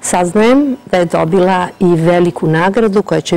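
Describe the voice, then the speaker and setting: Noticeable background noise sits behind a woman's voice. She has a medium pitch and ordinary pitch variation. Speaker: TV journalist, show host. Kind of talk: TV presenter introduction.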